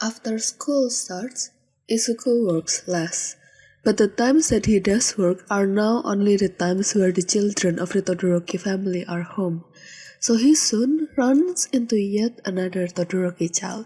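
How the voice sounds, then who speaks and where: At a moderate pace, a woman speaks in a somewhat breathy, dark, mellow voice of medium pitch with ordinary variation, on a very clean recording with a silent background. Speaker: podfic reader. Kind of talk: fan fiction audiobook reading.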